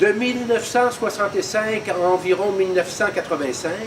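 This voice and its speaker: Over noticeable background noise, a man with a high-pitched voice speaks at a moderate pace. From Quebec, Montreal. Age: 70s. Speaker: museum volunteer. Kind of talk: personal testimony.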